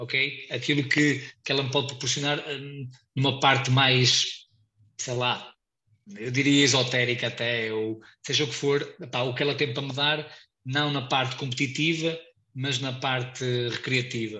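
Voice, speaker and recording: A man's medium-pitched voice with a European Portuguese accent, bright and sharp in tone, monotone and flat, at a fairly slow pace with long, frequent pauses and audible room echo. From Portugal. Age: 30s. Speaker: ultramarathon runner. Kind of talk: casual interview.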